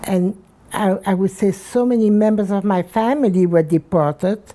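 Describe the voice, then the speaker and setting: Noticeable background noise sits behind a woman speaking at a very slow pace. Her pitch is medium. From Belgium. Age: 90s. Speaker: Holocaust survivor. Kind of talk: oral history interview. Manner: halting, many repetitions.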